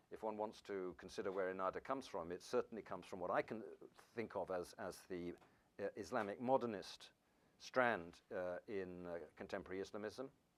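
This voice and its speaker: A man talks at a fairly quick pace. He has a British accent. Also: fairly low pitch for a man, ordinary pitch variation. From England. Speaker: professor. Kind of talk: lecture. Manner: fast; halting.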